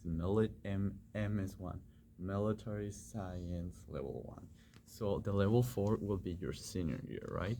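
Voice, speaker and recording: A man with a non-native accent speaks at a fairly slow pace and a fairly low pitch, with ordinary pitch variation. His tone is dark and mellow, and somewhat breathy. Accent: foreign accent, noticeable on some words. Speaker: ROTC cadet and pre-med student YouTuber. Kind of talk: casual explainer vlog. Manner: casual, halting with fillers.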